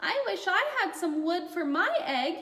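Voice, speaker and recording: A squeaky put-on character voice from a woman, extremely high in pitch, at a moderate pace. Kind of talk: bedtime story. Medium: read story. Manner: enthusiastic.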